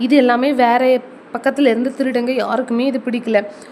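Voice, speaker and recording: Noticeable background noise sits behind the speaker. A woman talks at a high pitch. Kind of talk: bedtime story. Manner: soft-spoken; casual storytelling.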